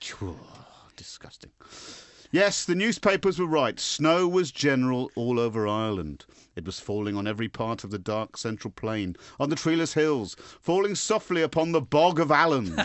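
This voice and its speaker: This speaker has an English accent and a moderate pace. Loudness swings a lot, and the pitch swings very widely. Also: man, medium pitch for a man. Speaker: radio show host. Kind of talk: comedic radio banter; reading aloud.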